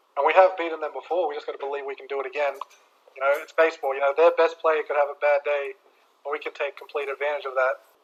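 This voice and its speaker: Speaking very fast with an Australian accent, a man uses a fairly high voice. His intonation is monotone and flat, while his loudness swings a lot. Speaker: professional baseball pitcher. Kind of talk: podcast interview answer.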